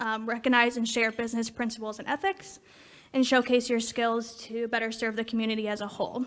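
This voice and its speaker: A woman speaks in a normal speaking voice with a fairly high pitch. Her intonation is fairly even and her pace fairly quick. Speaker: committee co-chair at a club meeting. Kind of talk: announcement at a meeting.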